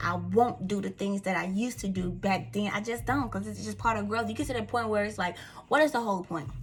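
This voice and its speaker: A woman talks at a very fast pace in an animated tone with a Southern US accent, with music in the background. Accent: country Southern. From Mississippi, US South. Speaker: vlogger. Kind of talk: casual talk to camera. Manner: repeats words, stumbles.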